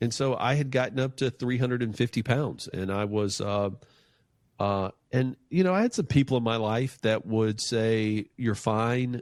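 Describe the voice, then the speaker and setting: Recorded very cleanly against a silent background, an unremarkable speaking voice with an American accent moves at a moderate pace with ordinary pitch variation. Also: man, medium pitch for a man. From North Carolina, US South. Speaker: financial planner and entrepreneur. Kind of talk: podcast interview. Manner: casual, with frequent fillers and restarts.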